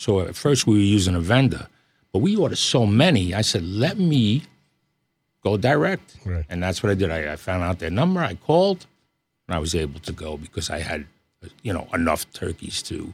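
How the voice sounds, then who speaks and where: Somewhat breathy, a man with an American accent speaks at a fairly quick pace with very wide pitch swings. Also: fairly low pitch for a man. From Long Island, New York. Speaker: butcher shop owner. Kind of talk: radio interview.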